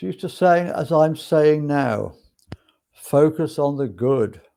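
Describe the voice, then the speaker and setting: Very slow and relaxed in tone, a man speaks at a fairly high pitch with ordinary pitch variation. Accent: English. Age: 60s. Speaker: spiritual podcast host. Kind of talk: casual monologue. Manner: relaxed, hesitant with fillers.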